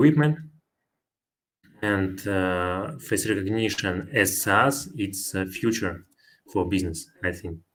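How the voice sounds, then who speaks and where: This very clean recording has a silent background and a speaker with a non-native accent. The pace is very slow, with long, frequent pauses and ordinary pitch variation. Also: man, fairly low pitch for a man. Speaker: software developer. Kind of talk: conference Q&A. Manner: halting.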